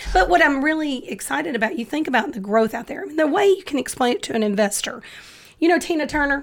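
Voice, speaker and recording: Talking at a very fast pace, a woman with a Dallas accent uses a high, animated voice full of very wide pitch swings. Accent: sounds like she's from Dallas. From Memphis, Tennessee. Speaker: real estate investor. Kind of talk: casual chat.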